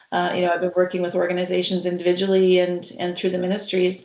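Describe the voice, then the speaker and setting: A woman with a Canadian accent talks very fast at a medium pitch. Noticeable background noise runs underneath. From Canada, Saskatchewan. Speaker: healthcare consultant. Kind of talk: webcast interview. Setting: online webcast.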